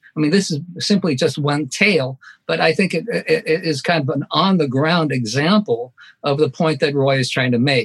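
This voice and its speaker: At a moderate pace, a man speaks with a fairly high pitch. His somewhat breathy voice shows ordinary pitch variation. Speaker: professor. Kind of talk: panel discussion. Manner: formal.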